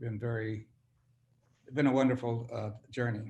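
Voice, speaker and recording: A man's medium-pitched, somewhat breathy voice at a fairly slow pace with fairly even intonation. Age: 80s+. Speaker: group member. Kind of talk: sharing in a group circle. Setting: video call.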